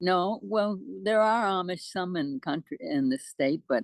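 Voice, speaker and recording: A woman's medium-pitched voice in an American accent, fairly slow, with very wide pitch swings, a quiet background, and a dry, close sound with no echo. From New York. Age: 80s+; old. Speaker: poet. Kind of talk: interview answer.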